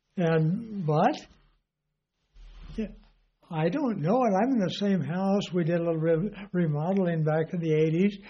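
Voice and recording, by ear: The speaker is a man with a high pitch. He talks at a fairly slow pace. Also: ordinary pitch variation.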